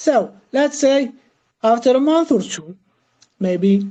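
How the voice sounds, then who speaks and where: Lively intonation marks this woman's very slow speech. She has a dark, mellow tone and a non-native accent. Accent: foreign. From Algeria. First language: not English. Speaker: crypto project team member. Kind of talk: Q&A interview. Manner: halting, many fillers.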